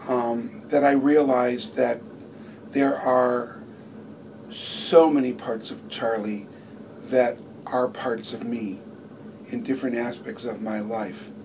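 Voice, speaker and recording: Through noticeable background noise and audible room echo, a man at medium pitch speaks very slowly with long, frequent pauses, lively intonation and big swings in loudness. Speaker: stage actor. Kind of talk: interview.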